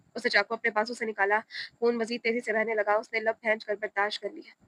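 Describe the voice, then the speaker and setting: Soft-spoken and fairly high in pitch, a woman talks with a monotone, flat intonation. Her tone is bright and sharp, in a dry, close sound with no echo. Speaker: audiobook narrator. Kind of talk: reading aloud. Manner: soft, emotional tone.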